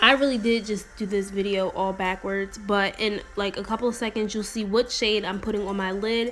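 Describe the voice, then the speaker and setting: The delivery is monotone and flat, with hardly any pauses. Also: woman, medium pitch for a woman. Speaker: beauty vlogger. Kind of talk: makeup tutorial voiceover. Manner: fast.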